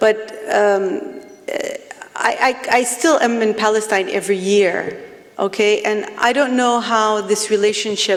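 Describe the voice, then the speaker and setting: Delivered at a fairly slow pace with long, frequent pauses, the speech has ordinary pitch variation and very even loudness over noticeable background noise. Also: woman, fairly high pitch for a woman. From Palestinian diaspora, multilingual upbringing. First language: not English; grew up with four home languages. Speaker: poet. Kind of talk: panel discussion. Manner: halting, many fillers and restarts.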